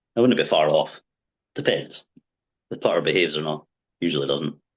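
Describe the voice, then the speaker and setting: Speaking with a Scottish accent, a man talks. He keeps a fairly quick pace. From Wick, far north of Scotland. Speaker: darts player. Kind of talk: podcast interview answer.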